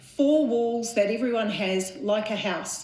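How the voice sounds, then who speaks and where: With audible room echo and noticeable background noise, a woman with fairly high pitch talks at a fairly slow pace. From New Zealand. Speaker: mental health charity chief executive. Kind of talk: conference talk. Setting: conference stage with audience.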